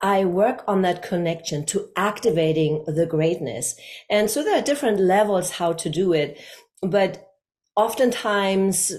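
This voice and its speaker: The speaker has a German accent and a fairly slow pace. The pitch varies in an ordinary way. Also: woman, medium pitch for a woman. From Germany, Hamburg. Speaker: communication coach. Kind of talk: interview.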